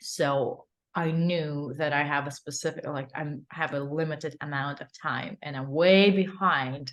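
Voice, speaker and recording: Fairly even intonation and a fairly slow pace mark this speech in a Ukrainian accent over a quiet background. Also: woman, very deep, low pitch for a woman. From Ukraine. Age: 20s. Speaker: actress and stunt performer. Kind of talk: interview. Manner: halting, many fillers.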